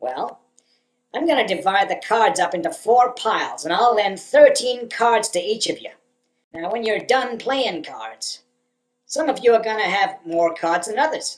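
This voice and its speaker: Using a put-on character voice, a woman speaks in a smug tone at a fairly high pitch, with lively intonation and a moderate pace. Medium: voice reel. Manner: smug, folksy salesman drawl.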